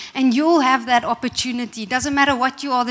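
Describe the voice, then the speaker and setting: The speech moves at a fairly quick pace with fairly even intonation. Noticeable background noise can be heard. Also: woman. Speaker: preacher. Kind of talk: sermon. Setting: church.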